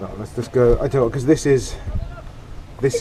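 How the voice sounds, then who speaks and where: A man's pitch varies in an ordinary way, and noticeable background noise is present. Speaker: home mechanic. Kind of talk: tutorial talk to camera.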